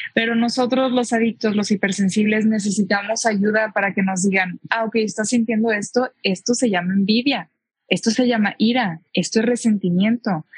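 Somewhat breathy voice at a moderate pace, with hardly any pauses, very even loudness, fairly even intonation, and a dry, close sound with no echo. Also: woman, fairly high pitch for a woman. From Mexico, Tijuana. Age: 20s. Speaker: public speaker and equestrian rider. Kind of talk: testimony.

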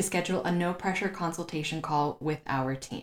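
Using a plain, everyday voice with an American accent, a woman speaks at a moderate pace with ordinary pitch variation. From United States. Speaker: podcast host and diversity consultant. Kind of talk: scripted intro narration; interview conversation.

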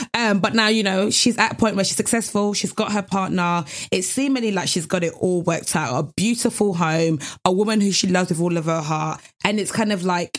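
Someone with a British accent speaks in an animated tone at a fairly quick pace. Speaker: podcast co-host. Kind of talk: casual chat.

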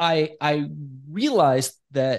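In an American accent, a man with a plain, everyday voice and fairly high pitch speaks with lively intonation against a quiet background. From Iran, raised in the US. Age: 40s. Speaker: entrepreneur. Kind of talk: interview. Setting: studio.

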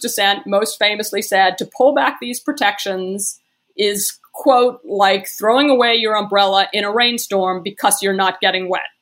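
With an American accent, a woman uses a normal speaking voice at medium pitch and a fairly slow pace, showing ordinary pitch variation and hardly any pauses. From US (Brooklyn, New York). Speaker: documentary filmmaker. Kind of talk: interview. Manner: casual, filler-heavy.

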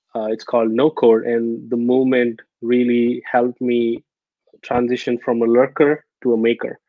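A man with a Telugu accent speaks at a moderate pace in a medium pitch, his intonation monotone and flat. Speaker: startup founder. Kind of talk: interview. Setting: video call. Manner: hesitant with many fillers.

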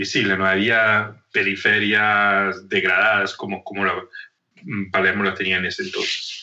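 A man speaks at a fairly slow pace in a monotone, flat intonation. His tone is bright and sharp. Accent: Italian. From northern Italy, Trento. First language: Italian (speaking Spanish). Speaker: leadership coach and anthropologist. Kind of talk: interview conversation. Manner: halting, many repetitions and fillers.

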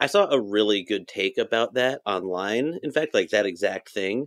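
The recording is very clean, with a silent background and a dry, close sound with no echo. A man speaks at a moderate pace. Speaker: podcast producer and co-host. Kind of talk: casual chat. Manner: halting.

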